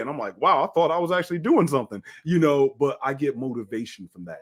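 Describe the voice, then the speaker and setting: A man has an unremarkable speaking voice, with ordinary pitch variation and a fairly quick pace. The recording is very clean, with a silent background. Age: 50s. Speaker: fitness trainer and bodybuilder. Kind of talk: podcast interview.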